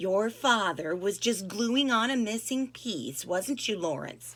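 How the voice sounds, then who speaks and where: A woman's shaky, put-on character voice, medium in pitch and fairly slow in pace. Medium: read story. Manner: gentle, hesitant.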